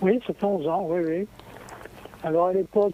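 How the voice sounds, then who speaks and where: The speaker has ordinary pitch variation, heard over noticeable background noise. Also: man. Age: 80s+. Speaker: radio caller. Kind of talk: casual chat. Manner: halting.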